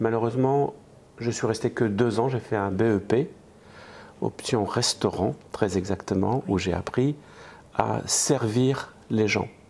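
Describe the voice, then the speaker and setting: The voice belongs to a man with a medium pitch. He talks at a very slow pace. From eastern France. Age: 60s. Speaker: restaurant franchise owner and entrepreneur. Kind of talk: interview.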